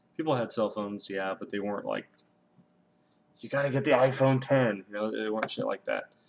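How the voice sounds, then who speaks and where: A man with an American accent speaks at a fairly quick pace and medium pitch, with ordinary pitch variation and long, frequent pauses. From US West Coast, Los Angeles. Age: 20s. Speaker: YouTuber. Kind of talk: casual monologue vlog. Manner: rambling, hesitant with many ums.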